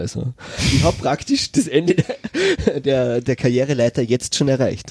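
In an Austrian accent, a man with a medium pitch and a dark, mellow tone speaks at a moderate pace, the sound dry and close with no echo. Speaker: special education teacher. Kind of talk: casual chat. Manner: halting.

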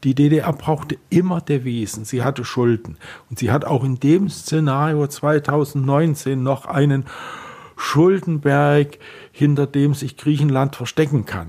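Very slowly, a man speaks in a somewhat breathy, dark, mellow tone. His pitch is fairly high with ordinary variation. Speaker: futurologist and science fiction writer. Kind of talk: radio interview.

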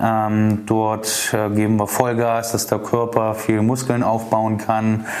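A man's voice carries audible room echo, with noticeable background noise around it. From Dresden, Saxony, eastern Germany. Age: 30s. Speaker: insurance broker. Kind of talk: podcast self-introduction monologue. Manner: hesitant with many filler sounds.

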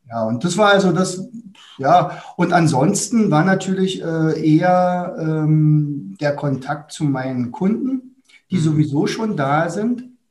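At a very slow pace, a man talks in a high pitch with lively intonation. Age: 60s. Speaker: teacher and academy founder. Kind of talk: interview.

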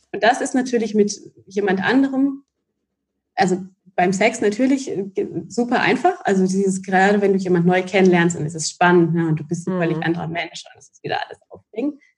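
Somewhat breathy and fairly quick, a woman speaks at medium pitch with ordinary pitch variation and big swings in loudness. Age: 30s. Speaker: relationship coach. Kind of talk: casual chat.

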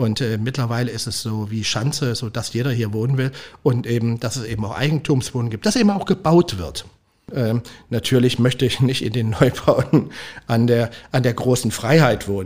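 A man's somewhat breathy, medium-pitched voice with ordinary pitch variation at a moderate pace. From Leipzig, East Germany. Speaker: restaurant owner. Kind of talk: casual interview. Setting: restaurant. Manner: halting, many repetitions.

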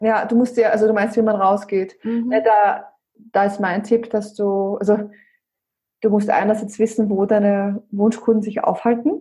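In an Austrian accent, a woman speaks at a moderate pace in a fairly high, somewhat breathy voice with a dark, mellow tone and monotone, flat intonation. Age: 30s. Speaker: brand consultant. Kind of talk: interview. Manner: halting, many fillers.

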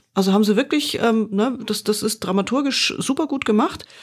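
Fairly high in pitch, a woman talks at a fairly quick pace with lively intonation. Her voice is somewhat breathy. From Bavaria. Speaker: podcast host reviewing corporate podcasts. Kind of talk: casual chat.

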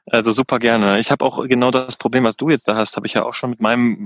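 Very fast speech from a man at medium pitch, fairly even in intonation, dry and close with no echo. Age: 30s. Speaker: van lifer, event organizer. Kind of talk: casual interview chat.

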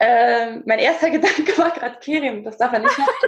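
Lively intonation runs through this woman's speech. Her pitch is high and her pace moderate. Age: 20s. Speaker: speaker and presence coach, former dance teacher. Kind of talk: casual interview.

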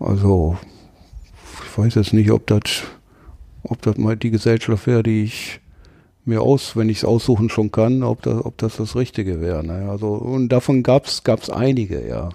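Speaking at a moderate pace with long, frequent pauses, a man with a dark, mellow tone and fairly low pitch shows ordinary pitch variation in a very clean recording with a silent background. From Ruhr area, Duisburg. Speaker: tattoo artist. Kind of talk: casual interview.

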